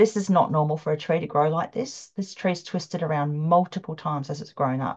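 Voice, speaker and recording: A woman with an Australian accent and a fairly low pitch, against a quiet background. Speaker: ley line researcher and psychic development teacher. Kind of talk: presentation with slides. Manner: fast.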